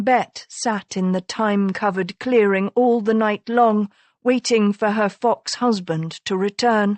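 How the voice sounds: Quiet background behind a natural reading voice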